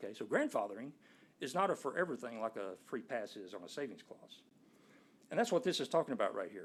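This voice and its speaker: Talking at a very fast pace in an East Texas accent, a man with a fairly high pitch makes very wide pitch swings and big swings in loudness. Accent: East Texas Southern US. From Nacogdoches, East Texas. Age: 60s. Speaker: resident speaking at a zoning board hearing. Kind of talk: public comment at a city board meeting. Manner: conversational, explanatory.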